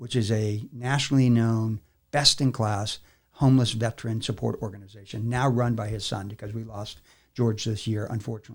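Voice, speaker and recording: Somewhat breathy and delivered at a fairly quick pace, the voice stays monotone and flat in a very clean recording with a silent background. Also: man, medium pitch for a man. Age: 60s. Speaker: army veteran and business facilitator. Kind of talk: podcast interview. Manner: frequent fillers, casual.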